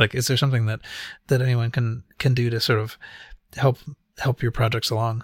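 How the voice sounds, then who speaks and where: In a dry, close recording with no echo, the somewhat breathy voice moves at a fairly quick pace with long, frequent pauses and monotone, flat intonation. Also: man, medium pitch for a man. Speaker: podcast host. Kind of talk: casual chat. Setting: online chat on Discord.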